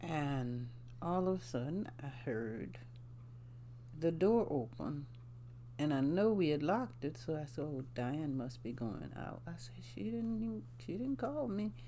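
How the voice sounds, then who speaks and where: With a South Carolina Lowcountry accent, a woman speaks at a very deep, low pitch in a dark, mellow tone, with audible room echo. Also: fairly slow pace. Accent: Southern US (South Carolina, Lowcountry). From US South, South Carolina. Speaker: grandmother sharing life story. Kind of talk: casual interview, storytelling. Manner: halting, many fillers.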